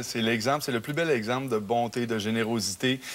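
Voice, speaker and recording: This man speaks with a Quebec accent at a fairly quick pace. His pitch is medium, with ordinary pitch variation. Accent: Québécois French. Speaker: singer. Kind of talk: TV talk show interview. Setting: TV studio.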